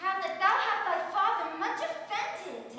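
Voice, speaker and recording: Putting on a character voice, a woman speaks at an extremely high pitch against a strong echo. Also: moderate pace, ordinary pitch variation. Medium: stage play.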